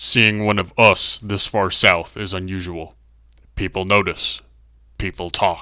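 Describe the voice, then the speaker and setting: In a cartoonish character voice, a man speaks at a fairly low pitch with monotone, flat intonation. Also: fairly slow pace. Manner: terse, cold.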